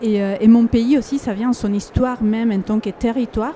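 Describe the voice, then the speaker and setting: A woman with a Spanish accent speaks at a moderate pace in a monotone, flat delivery, her pitch fairly high, with noticeable background noise. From Ecuador. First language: Spanish (speaking French). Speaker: artist. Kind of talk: panel discussion. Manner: halting, many fillers and repetitions.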